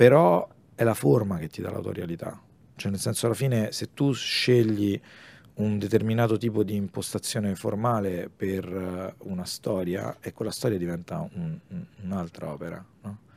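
Speaking at a moderate pace, a man with an unremarkable speaking voice has a fairly low pitch, ordinary pitch variation and big swings in loudness. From Rome, Italy. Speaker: comic artist and illustrator. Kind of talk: casual interview chat.

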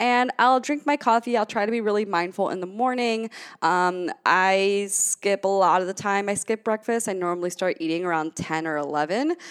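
The recording is very clean with a silent background and a dry, close sound with no echo, carrying an animated tone at a moderate pace. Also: woman, medium pitch for a woman, ordinary pitch variation, hardly any pauses. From Cuban-American family. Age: 20s. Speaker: podcast host, entrepreneur. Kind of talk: casual solo monologue.

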